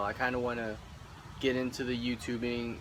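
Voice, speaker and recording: At a moderate pace, a man with an American accent speaks at medium pitch. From Indianapolis, Indiana. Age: 20s. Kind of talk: casual talk to camera.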